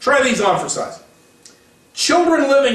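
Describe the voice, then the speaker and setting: A man talks amid audible room echo, with noticeable noise in the background. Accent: American. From Missouri, US. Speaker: political commentary podcaster. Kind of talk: political commentary. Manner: reads quotes aloud from articles.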